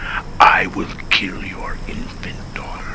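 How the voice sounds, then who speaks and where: A raspy put-on character voice from a man at a very slow pace. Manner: steady, controlled menace.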